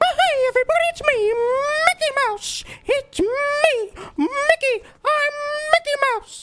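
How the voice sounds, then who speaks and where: At a fairly slow pace, a put-on character voice sits at an extremely high pitch. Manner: cheerful, joyful.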